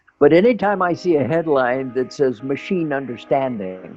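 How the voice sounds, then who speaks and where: Over music in the background, a man with a fairly high pitch talks at a moderate pace with very wide pitch swings. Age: 70s. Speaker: computer scientist. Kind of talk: interview answer.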